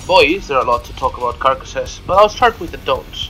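A man rattles along at a very fast pace while music plays in the background. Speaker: gamer. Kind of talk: game tutorial narration. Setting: home recording, poor sound quality.

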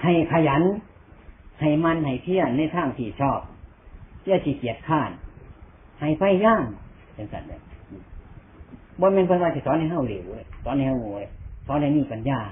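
Speaking with an Isan accent, a man uses a fairly high pitch and lively intonation. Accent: Isan (Northeastern Thai). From Northeastern Thailand. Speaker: Buddhist monk. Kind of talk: Buddhist sermon.

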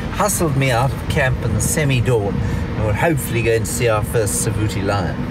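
A man at a moderate pace with ordinary pitch variation, dry with no echo, music playing behind him. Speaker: safari vlogger driving. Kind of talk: casual vlog chat. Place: car.

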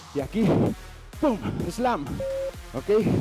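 Clear music plays in the background as a man speaks at a very slow pace with ordinary pitch variation. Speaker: fitness instructor. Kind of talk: workout coaching cues. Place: gym.

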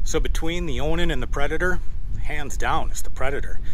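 A man at a fairly quick pace, dry sound with no echo and light background noise. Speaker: truck camper vlogger. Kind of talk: casual vlog chat. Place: open country. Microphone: phone near.

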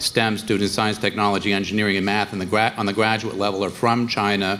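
Music plays in the background. A man with a fairly low pitch talks in a monotone, flat intonation. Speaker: conference panelist. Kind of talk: panel discussion answer. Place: stage. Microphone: handheld.

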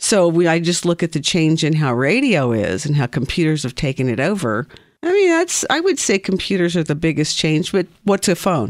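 Lively intonation marks this American-accented speech at a moderate pace, with hardly any pauses and very even loudness on a very clean recording with a silent background. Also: woman, fairly low pitch for a woman. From US Midwest, southern Missouri (Ozarks). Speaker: office worker interviewed as guest. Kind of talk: interview. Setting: studio.

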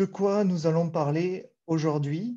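Speaking fairly slowly, a man with a Toulouse accent has a dark, mellow tone. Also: quiet background. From southern France, Toulouse; southern France. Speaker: data architect, conference speaker; conference speaker. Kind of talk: conference talk. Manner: hesitant, many fillers. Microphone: video call.

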